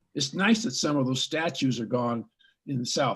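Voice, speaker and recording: This man's voice sits at a fairly high pitch and is somewhat breathy. He sounds animated and speaks at a fairly quick pace with ordinary pitch variation. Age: 80s+. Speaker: psychologist, scholar. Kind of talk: interview. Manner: animated, with hesitations.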